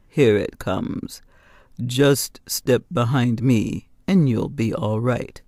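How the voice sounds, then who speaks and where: Putting on a character voice, a man speaks in a rumbling, medium-pitched tone at a very slow pace. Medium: read story. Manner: calm, assured.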